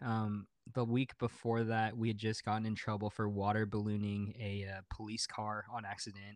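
Against a quiet background, a man speaks in a flat monotone with a fairly low pitch. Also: moderate pace. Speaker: podcast guest. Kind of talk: casual chat. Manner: well spoken.

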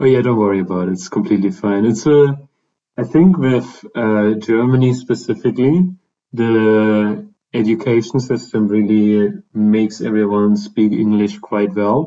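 Here, a man with a fairly low voice talks at a moderate pace. He has a normal speaking voice with ordinary pitch variation. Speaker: podcast host. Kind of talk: casual interview.

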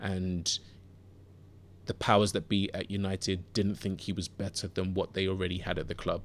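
On a very clean recording with a silent background, a man speaks at a very deep, low pitch. His delivery is monotone, with flat intonation. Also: moderate pace. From Southeast London (Bermondsey). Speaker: sports podcast host. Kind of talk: solo podcast monologue. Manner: hesitant, many fillers and repeats.

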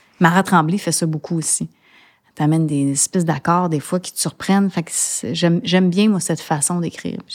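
A woman speaks at a fairly quick pace in a normal speaking voice, her pitch fairly low and her intonation fairly even. The recording is very clean with a silent background and a dry, close sound with no echo. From Montreal, Quebec. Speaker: singer-songwriter. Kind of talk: interview.

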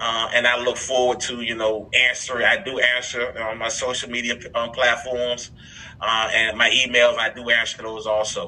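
Noticeable background noise sits behind a man of medium pitch. He talks at a moderate pace with monotone, flat intonation. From Miami, Florida. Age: 50s. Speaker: workforce development program leader. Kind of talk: interview.

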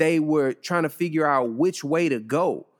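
Using an ordinary speaking voice, a man talks at a moderate pace and fairly high pitch with ordinary pitch variation. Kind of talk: casual podcast discussion. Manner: casual, filler-heavy, relaxed.

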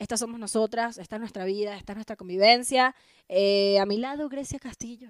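A plain, everyday voice moves at a fairly quick pace with fairly even intonation and big swings in loudness. The recording is very clean with a silent background and a dry, close sound with no echo. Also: woman, fairly high pitch for a woman. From Venezuela. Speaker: comedian. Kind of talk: casual chat.

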